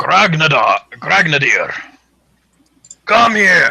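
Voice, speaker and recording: In a put-on character voice, a raspy, bellowing speaker with a fairly high pitch drags along at a very slow pace. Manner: bellowing, loud.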